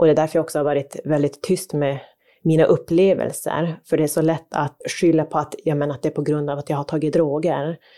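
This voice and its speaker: In a very clean recording with a silent background, a woman with a very deep, low pitch and a dark, mellow tone speaks at a fairly quick pace with monotone, flat intonation. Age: 30s. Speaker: podcast co-host. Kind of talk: casual chat.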